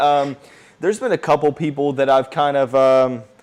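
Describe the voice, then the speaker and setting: A man with a fairly high voice talks at a moderate pace, noticeable background noise behind him. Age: 20s. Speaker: sports announcer and podcaster. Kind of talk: casual interview chat. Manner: casual, many fillers.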